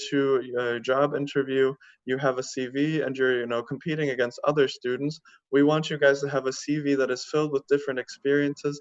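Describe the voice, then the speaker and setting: At a fairly quick pace, a man with an American accent speaks at a fairly high pitch in a monotone, flat intonation over a quiet background. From US. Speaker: university admissions manager. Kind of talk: presentation.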